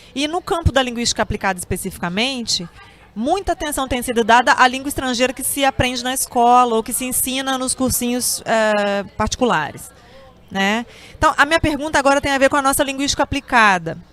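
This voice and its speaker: Music plays behind a woman with a high voice. She talks at a fairly quick pace with lively intonation. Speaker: professor and interviewer. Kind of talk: interview.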